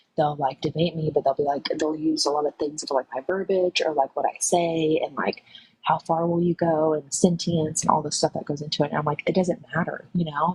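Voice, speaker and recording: A quiet woman speaks at a very deep, low pitch and a fairly quick pace in a monotone, flat intonation, with a dry, close sound and no echo. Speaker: caller on live stream. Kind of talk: casual discussion. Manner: hesitant with many fillers.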